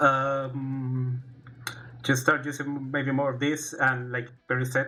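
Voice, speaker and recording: Music plays in the background behind a man. He speaks at a medium pitch with a Spanish accent. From Chile. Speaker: fighting game player. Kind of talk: casual stream talk. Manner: halting.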